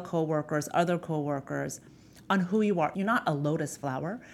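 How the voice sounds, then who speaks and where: The woman talks at a moderate pace. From New York, Queens (Filipino-American). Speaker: lawyer. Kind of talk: interview. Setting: studio. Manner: soft-spoken.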